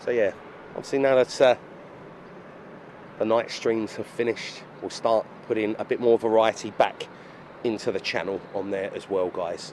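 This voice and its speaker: A man with an Essex accent speaks at a moderate pace and medium pitch, with fairly even intonation. He takes long, frequent pauses over noticeable background noise. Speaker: aviation live streamer. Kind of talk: live stream commentary. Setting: airport control tower. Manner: casual, chatty.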